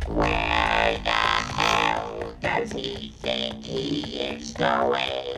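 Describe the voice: Over clear music in the background and audible room echo, a put-on character voice drawls very slowly with vocal fry and monotone, flat intonation. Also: man, extremely low pitch for a man.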